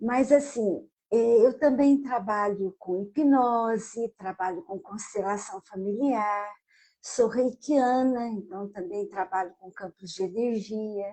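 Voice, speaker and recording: Somewhat breathy and fairly high-pitched, a woman speaks at a very slow pace, with ordinary pitch variation and big swings in loudness. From Brazil, southern Minas Gerais. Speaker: psychologist and author. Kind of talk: interview.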